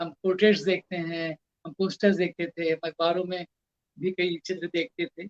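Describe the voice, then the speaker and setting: A man speaks at a high pitch with music in the background. The sound is dry and close, with no echo. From India, Kolkata. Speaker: poet and art critic. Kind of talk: interview talk, reminiscence.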